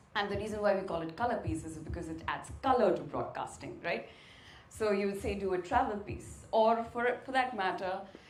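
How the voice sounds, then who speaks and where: Lively intonation marks a woman's speech at a fairly quick pace. Noticeable background noise sits behind her. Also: medium pitch for a woman. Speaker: sports presenter. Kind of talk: guest lecture talk.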